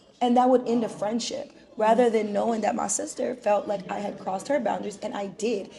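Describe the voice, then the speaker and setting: A woman speaks at a fairly high pitch, fairly quickly, with an animated tone and ordinary pitch variation. Noticeable background noise sits behind her. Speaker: podcast host. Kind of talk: casual chat. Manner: loud.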